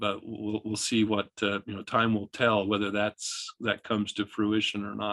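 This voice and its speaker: With hardly any pauses, a man speaks at a moderate pace in a fairly low, bright, sharp voice with monotone, flat intonation and a dry, close sound with no echo. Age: 60s. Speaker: professor, bigfoot researcher. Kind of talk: interview over video call. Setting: video call. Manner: halting, many repetitions.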